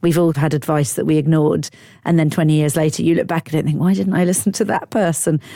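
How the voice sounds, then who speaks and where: A woman talks at a very fast pace in a very deep, low voice. Her pitch varies in an ordinary way. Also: very even loudness. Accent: English. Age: 50s. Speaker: comedian. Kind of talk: interview.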